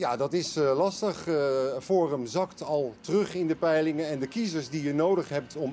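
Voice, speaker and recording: A dark, mellow tone comes through at a fairly slow pace with ordinary pitch variation and light background noise. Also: man. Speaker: political correspondent. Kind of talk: live news analysis. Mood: calm, measured.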